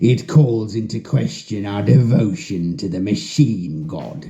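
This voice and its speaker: Using a put-on character voice, a wheezy man with a fairly low pitch talks at a moderate pace, his pitch swinging very widely. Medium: read story. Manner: measured, lecturing.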